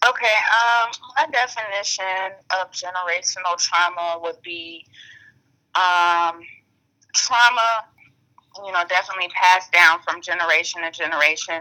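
A woman's medium-pitched voice with an American accent, bright and sharp in tone, at a moderate pace with ordinary pitch variation, big swings in loudness, and long, frequent pauses. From Atlanta, Georgia, US South. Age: 20s. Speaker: guest. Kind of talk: casual interview. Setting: FaceTime call. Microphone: poor audio quality over FaceTime.

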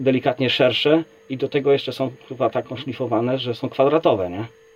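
Against noticeable background noise, a man's medium-pitched voice holds a fairly even intonation. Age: 40s. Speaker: kettlebell athlete and coach. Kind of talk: casual chat.

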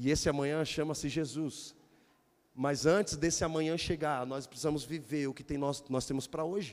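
His voice is fairly high in pitch. The man keeps to a moderate pace. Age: 40s. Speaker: pastor. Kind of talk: sermon. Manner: animated.

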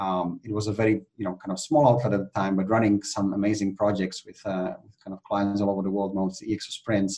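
A man's very fast speech with a Czech accent and hardly any pauses, fairly low in pitch, dark and mellow in tone, with fairly even intonation. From Czech Republic. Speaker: innovation consultant and trainer. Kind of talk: podcast interview.

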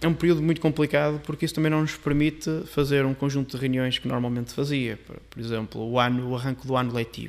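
Fairly high in pitch, a man speaks at a very fast pace with hardly any pauses. His intonation stays fairly even. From northern Portugal. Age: 30s. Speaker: member of parliament. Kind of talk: casual chat.

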